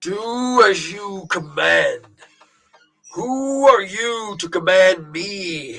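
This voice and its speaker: A man's high-pitched put-on character voice at a very slow pace. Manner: cold, menacing, defiant.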